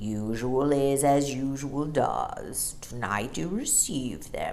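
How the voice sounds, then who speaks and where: Over clear background noise, a woman uses a gruff, put-on character voice pitched very deep and low, speaking at a very slow pace. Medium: read story. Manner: gruff but friendly.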